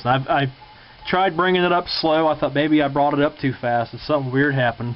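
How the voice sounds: The speech moves at a fast pace. Its intonation stays fairly even. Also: man.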